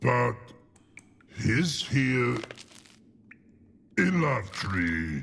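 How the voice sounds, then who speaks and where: A man performs a put-on character voice. His pitch sits in the medium range. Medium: video game. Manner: slow, broken grammar.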